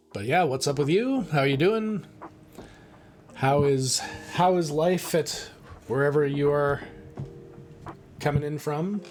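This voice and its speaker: Fairly slow speech with long, frequent pauses and ordinary pitch variation, music playing in the background. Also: man, fairly high pitch for a man. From Canadian Prairies (Saskatchewan). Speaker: live streamer. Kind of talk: casual chat. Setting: live stream.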